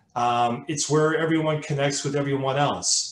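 The pace is moderate and the intonation fairly even. Room echo is audible. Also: man. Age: 50s. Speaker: colorectal cancer survivor and advocate. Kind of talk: webinar presentation. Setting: video call. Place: home room.

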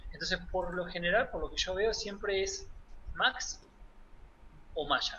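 A man speaks at a fairly slow pace, with long, frequent pauses. Light background noise is present. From Buenos Aires province, Argentina. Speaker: 3D character artist; guest. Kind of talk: interview. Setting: at home. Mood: relaxed, reminiscing. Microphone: webcam.

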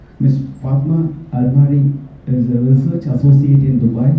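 Audible room echo surrounds a man speaking at a fairly slow pace with a monotone, flat intonation. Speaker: chartered accountant, committee member. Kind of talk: speaker introduction. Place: hall.

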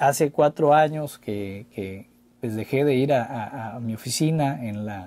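Speaking at a fairly slow pace, a man with a dark, mellow tone shows big swings in loudness. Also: ordinary pitch variation. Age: 40s. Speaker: former mayor. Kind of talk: interview. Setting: studio. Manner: halting, many repetitions. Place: studio. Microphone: studio mic.

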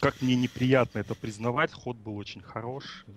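Heard dry and close with no echo, a man is speaking. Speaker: viewer, chat moderator helper. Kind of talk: question session over call. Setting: Skype call.

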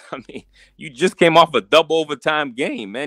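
A man at a moderate pace, bright and sharp yet relaxed in tone, in a dry, close sound with no echo. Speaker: sports livestream co-host doing play-by-play. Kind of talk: fan-style live play-by-play commentary of an NBA game. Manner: running narration of each possession, partisan Heat fan urging stops; relaxed, laughing, conversational play-calling.

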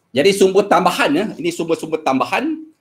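The man's pitch rises and falls in a typical way as he talks. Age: 50s. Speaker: secondary school maths teacher; experienced mathematics teacher. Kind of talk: workshop lecture. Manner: hesitant, many fillers. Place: home room.

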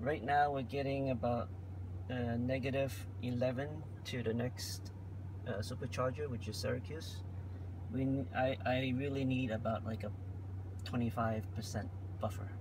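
Over noticeable background noise, a man speaks at a moderate pace with long, frequent pauses and ordinary pitch variation, the sound dry with no echo. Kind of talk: casual vlog chat. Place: car.

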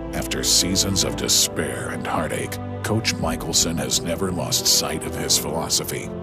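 Loud music plays in the background as a man talks at a moderate pace, the sound dry with no echo. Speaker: voice-over narrator. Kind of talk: sports documentary narration. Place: booth. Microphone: studio mic.

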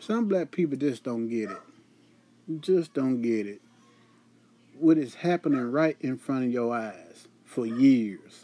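A fairly slow pace with long, frequent pauses. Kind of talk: opinion commentary to camera.

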